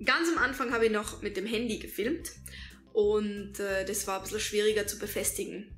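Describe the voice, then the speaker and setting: With faint music in the background, a woman speaks at a moderate pace in a fairly high pitch with ordinary pitch variation. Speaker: YouTuber, storyteller. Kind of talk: casual talk to camera. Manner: clicks tongue often. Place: home room. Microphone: camera far.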